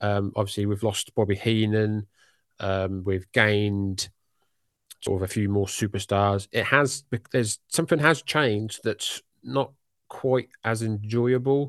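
A man with a British accent speaks at a fairly slow pace, with ordinary pitch variation. The sound is dry and close with no echo, against a quiet background. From UK. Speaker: wrestling podcaster. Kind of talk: casual interview chat.

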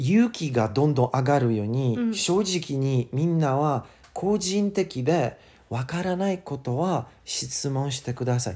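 A man with a dark, mellow tone, fairly high pitch, lively intonation and a fairly slow pace on a very clean recording with a silent background. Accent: English. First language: English (speaking Japanese). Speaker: English teacher. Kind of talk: casual chat. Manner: halting.

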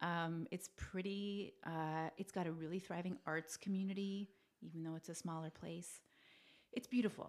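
With a Canadian accent, a woman speaks at a moderate pace in an unremarkable speaking voice, fairly low-pitched with fairly even intonation. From Canada (New Brunswick, Maritimes). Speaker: actress. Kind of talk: casual interview chat. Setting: studio with shared mics.

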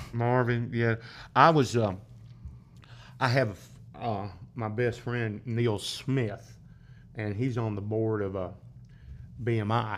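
A man speaks at a medium pitch and a very slow pace, his intonation fairly even, with long, frequent pauses. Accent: South Carolina. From upstate South Carolina (Greenville). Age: 60s. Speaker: drummer and bandleader. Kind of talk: casual interview chat, storytelling.

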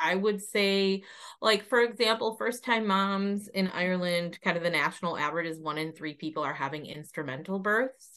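A woman with an American accent speaks at a moderate pace and medium pitch, with ordinary pitch variation. Her tone is bright and sharp, and the background is quiet. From United States. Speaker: doula and childbirth educator. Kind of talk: casual interview.

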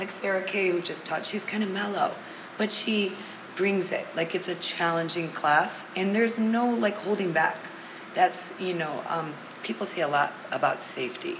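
A woman with an American accent and a medium pitch talks at a moderate pace, with audible room echo and noticeable background noise. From US Midwest, Monroe, Michigan. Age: 40s. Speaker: yoga studio owner and teacher. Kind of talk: casual interview chat.

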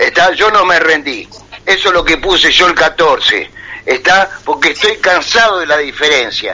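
A man speaks fairly slowly while noticeable background noise continues around him. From Buenos Aires province, Argentina. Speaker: war veteran. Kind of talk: radio call-in conversation.

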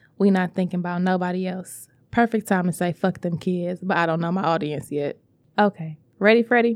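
A woman's medium-pitched, plain, everyday voice at a fairly quick pace, dry and close with no echo, in a very clean recording with a silent background. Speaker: podcast host leading meditation. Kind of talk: guided meditation. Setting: recorded in a podcast studio. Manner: casual, playful, jokey; calm, instructional, relaxed pacing.

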